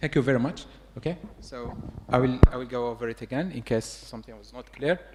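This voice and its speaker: At a fairly quick pace, a man talks at medium pitch with ordinary pitch variation. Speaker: lecturer teaching a tutorial. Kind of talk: hands-on tutorial.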